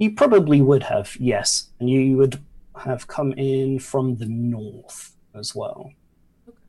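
His voice carries a dark, mellow tone and a touch of breathiness. The man talks rather unhurriedly. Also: medium pitch for a man, ordinary pitch variation, big swings in loudness. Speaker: dungeon master of a tabletop game stream. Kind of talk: tabletop role-play narration and casual chat. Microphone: new mic, sounds crisp.

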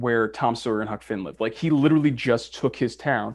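A man at medium pitch with an American accent, in a very clean recording with a silent background. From Boston, Massachusetts. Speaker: actor and university professor. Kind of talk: casual chat. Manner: animated.

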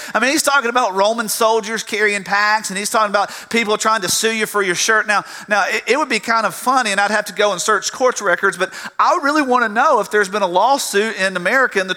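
Over noticeable background noise, a high-pitched man with a Southern US accent talks very fast in a raised, projected voice with lively intonation. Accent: Southern US (Georgia). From US South, south Georgia. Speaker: pastor. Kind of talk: sermon. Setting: church. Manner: halting, repeats words.

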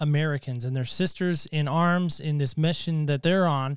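An ordinary speaking voice from a man, with ordinary pitch variation, on a very clean recording with a silent background. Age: 40s. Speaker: podcast host. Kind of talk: casual interview chat.

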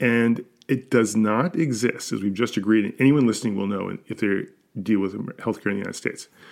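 With a normal speaking voice and ordinary pitch variation, the talker moves at a fairly quick pace. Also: man. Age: 60s. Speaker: podcast co-host, former investment banker. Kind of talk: casual conversational discussion. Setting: video call.

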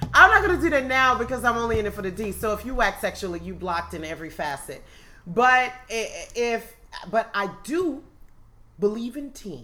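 A woman with a fairly high, bright, sharp voice and vocal fry talks at a moderate pace. Her pitch swings very widely and her loudness shifts a lot. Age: 30s. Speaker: poet and educator. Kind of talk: casual chat.

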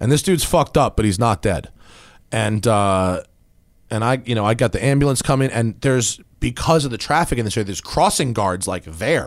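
This very clean recording has a silent background behind a man with a plain, everyday voice. He talks at a fairly quick pace and a medium pitch, with lively intonation. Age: 30s. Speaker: car podcast host. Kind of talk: casual chat.

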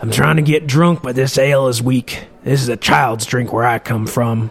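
In a put-on character voice, a man sounds raspy and gruff at a medium pitch and a moderate pace. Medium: read story. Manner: gruff, terse.

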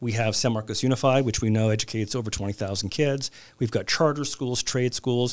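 Fairly even in intonation, a man with a Californian accent talks at a fairly quick pace. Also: medium pitch for a man. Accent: Californian American English. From Southern California, Glendale near Los Angeles. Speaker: city council member and lawyer. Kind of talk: interview.

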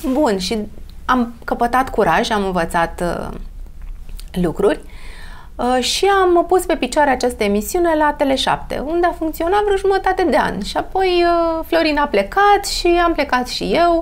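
At a fairly slow pace, a woman talks with high pitch and very wide pitch swings. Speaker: beauty expert. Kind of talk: casual interview.

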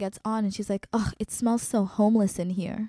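A woman with an American accent talks at a fairly quick pace in a monotone, flat intonation. The sound is dry and close, with no echo. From Colorado, US. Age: 20s. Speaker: activist and educator. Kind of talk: interview.

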